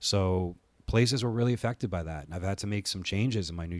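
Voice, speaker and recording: A man talks in an unremarkable speaking voice with ordinary pitch variation. The sound is dry and close with no echo, in a very clean recording with a silent background. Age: 30s. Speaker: podcast host and wrestling producer. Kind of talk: solo podcast monologue. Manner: casual, many filler words.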